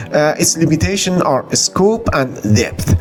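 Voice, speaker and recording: Music plays in the background as a man with an Iranian accent speaks at a fairly high pitch. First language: Farsi. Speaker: book reviewer, YouTuber. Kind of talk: book review and channel outro. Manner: halting, many fillers.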